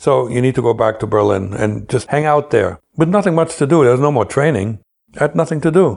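Lively intonation marks this man's medium-pitched voice, which carries vocal fry. He speaks at a fairly quick pace with very even loudness. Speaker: former KGB agent telling his story. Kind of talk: first-person storytelling interview.

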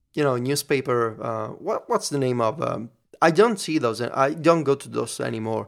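Recorded very cleanly against a silent background, a man with an Italian accent speaks in a fairly high pitch with lively intonation. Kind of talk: casual chat. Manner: halting.

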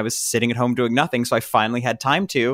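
The recording is very clean, with a silent background. A man speaks very fast at medium pitch. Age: 20s. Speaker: content creator and composer. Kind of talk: casual podcast interview.

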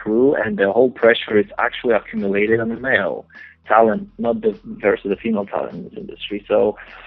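A man talks at a fairly quick pace in a Polish accent. His loudness swings widely. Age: 20s. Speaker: adult film performer. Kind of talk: interview. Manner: halting.

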